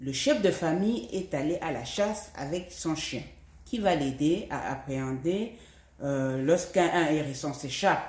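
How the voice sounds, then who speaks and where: The pace is very slow. The intonation is lively. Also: woman, very deep, low pitch for a woman. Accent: Cameroonian. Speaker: language teacher. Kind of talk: language lesson.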